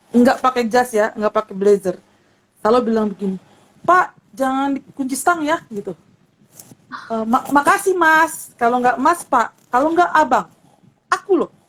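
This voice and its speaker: A woman talks at a moderate pace, leaving long, frequent pauses. Her pitch swings very widely. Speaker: seminary-trained church speaker. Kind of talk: online talk show interview. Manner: halting, many repetitions and fillers.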